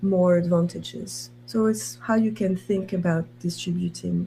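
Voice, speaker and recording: A woman's fairly low, somewhat breathy voice, dark and mellow in tone, with lively intonation at a fairly slow pace. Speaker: university professor. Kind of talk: conference talk.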